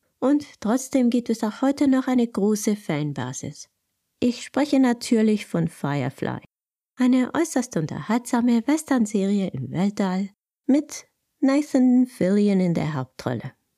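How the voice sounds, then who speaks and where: Fairly high in pitch, a woman's voice moves through very wide pitch swings. She speaks at a fairly slow pace with a dark, mellow tone. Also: very clean recording, silent background. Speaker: podcast host. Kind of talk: solo podcast monologue.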